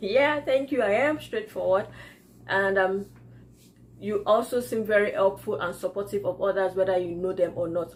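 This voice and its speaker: A woman with a Yoruba accent talks at a moderate pace and a medium pitch. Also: ordinary pitch variation. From Nigeria. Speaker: YouTuber, entrepreneur. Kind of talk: casual vlog Q&A. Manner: halting.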